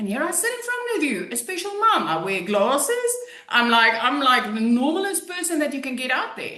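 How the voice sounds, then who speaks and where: A woman's raised, projected voice sits high in pitch and makes very wide pitch swings, with audible room echo around it. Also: moderate pace. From South Africa. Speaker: online business coach. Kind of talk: testimony. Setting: webinar.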